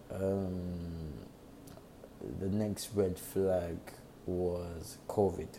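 A dark, mellow voice moves at a very slow pace in a monotone, flat intonation, broken by long, frequent pauses. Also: man, very deep, low pitch for a man. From England. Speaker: podcaster. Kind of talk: casual monologue. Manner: halting.

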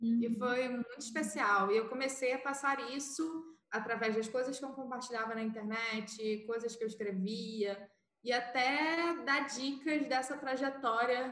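A woman at a fairly high pitch and fairly slow pace, with audible room echo. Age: 20s. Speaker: advertising professional. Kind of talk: casual chat.

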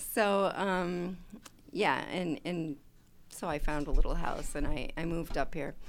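A woman with a Chicago accent speaks at a fairly slow pace in a fairly low pitch, with ordinary pitch variation. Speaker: chapter president, retired data analyst. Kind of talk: casual radio interview. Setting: studio.

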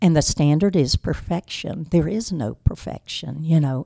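With an eastern North Carolina accent, a woman speaks at a moderate pace in a very deep, low pitch, her dark, mellow tone carrying vocal fry in a dry, close sound with no echo. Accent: eastern North Carolina Southern. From US South (eastern North Carolina). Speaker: business owner. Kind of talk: interview.

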